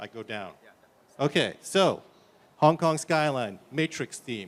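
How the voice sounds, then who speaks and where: The speech is very slow, with lively intonation, vocal fry and big swings in loudness. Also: man, fairly high pitch for a man. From US, New York. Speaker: tech startup founder. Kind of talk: conference demo presentation. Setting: conference stage.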